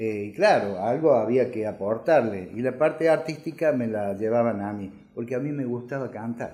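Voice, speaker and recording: A man speaks at a medium pitch and a moderate pace, with ordinary pitch variation. His tone is dark and mellow, and he hardly pauses at all. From Argentina, Córdoba city. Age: 60s. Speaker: electrician. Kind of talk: life story interview. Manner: halting, many filler sounds.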